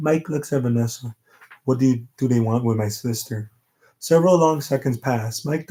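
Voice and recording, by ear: The speaker is reading aloud in a natural voice, and the pitch moves in a typical way. All around, things are quiet.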